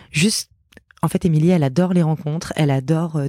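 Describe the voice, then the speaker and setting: A woman's very deep, low voice with a dark, mellow tone, ordinary pitch variation, and a dry, close sound with no echo. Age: 30s. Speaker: podcast host. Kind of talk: solo podcast monologue. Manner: hesitant, many fillers.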